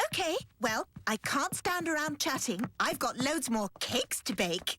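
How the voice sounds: The female-sounding voice is a cartoonish character with a high pitch. Its pace is moderate.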